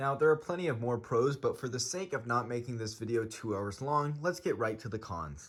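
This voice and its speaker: A man at medium pitch talks at a fairly quick pace with hardly any pauses, lively intonation and a somewhat breathy quality, on a very clean recording with a silent background. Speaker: e-bike builder YouTuber. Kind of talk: tutorial-style vlog. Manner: casual, many filler words.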